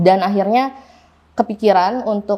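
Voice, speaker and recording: Here is a woman with an ordinary speaking voice at medium pitch. She keeps a moderate pace with ordinary pitch variation. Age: 20s. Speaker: food business owner. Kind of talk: interview testimony. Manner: casual, filler-heavy.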